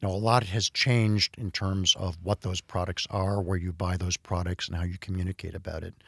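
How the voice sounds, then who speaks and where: The speaker has an American accent and a fairly quick pace. There are hardly any pauses, and the intonation stays fairly even. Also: man, very deep, low pitch for a man. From US Midwest, Cleveland, Ohio. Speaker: beauty industry executive. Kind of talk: interview. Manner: halting, many fillers.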